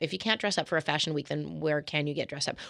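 With a Canadian accent, a woman speaks in a bright, sharp tone with lively intonation on a very clean recording with a silent background. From Canada, Calgary. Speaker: novelist and fashion publicist. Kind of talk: casual interview.

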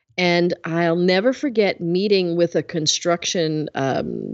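An ordinary speaking voice: a woman with an American accent speaks at a fairly low pitch with fairly even intonation, her sound dry and close with no echo. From US Northeast, Bronx, New York. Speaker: business leadership coach. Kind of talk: interview.

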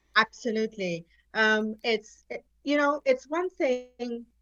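Speaking at a very slow pace, a woman uses a fairly high pitch and a bright, sharp tone, recorded dry and close with no echo. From Nigeria. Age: 50s. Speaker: cancer advocate. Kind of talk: interview conversation. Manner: energetic.

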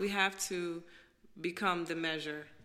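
With an American accent, a woman talks at a fairly slow pace, her fairly low-pitched voice bright and sharp in tone. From Brooklyn, New York. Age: 30s. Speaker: author and poet. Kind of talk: casual chat.

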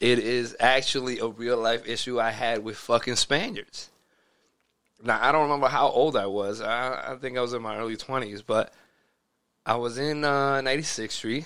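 His tone comes across bright and sharp. The man's pitch sits in the medium range. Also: moderate pace. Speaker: podcast co-host. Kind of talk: casual chat.

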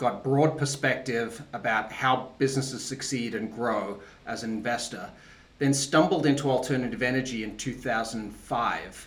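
Against noticeable background noise, a man with an Australian accent talks at a medium pitch with ordinary pitch variation. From Australia (Tasmania). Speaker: venture capital investor. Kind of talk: interview.

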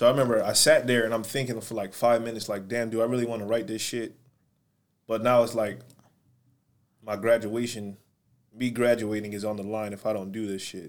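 A man with a medium pitch talks in a flat monotone at a fairly quick pace, broken by long, frequent pauses. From Syracuse, New York. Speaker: clothing brand owner. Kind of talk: casual chat.

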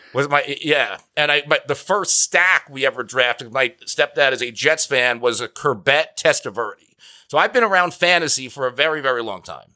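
A man speaks with a bright, sharp tone at a fairly high pitch, using ordinary pitch variation. His pace is moderate with hardly any pauses, on a very clean recording with a silent background. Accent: American. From New Jersey. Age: 30s. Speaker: fantasy football analyst. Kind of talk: interview.

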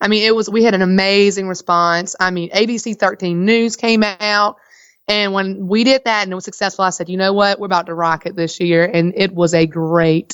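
A woman with a strong Southern US accent speaks at a moderate pace in a medium pitch, her tone energetic and animated, on a very clean recording with a silent background. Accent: thick Southern US. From Virginia, US South. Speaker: farmers market manager and farmer. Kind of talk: casual interview chat. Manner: energetic, animated.

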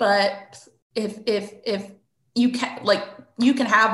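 Very slow and somewhat breathy, a woman's speech comes out. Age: 40s. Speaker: therapist. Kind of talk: interview.

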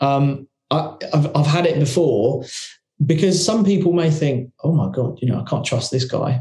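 A man's tone comes across dark and mellow. His delivery moves at a middling tempo. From England, working-class council estate. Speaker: investment company founder. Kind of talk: podcast interview.

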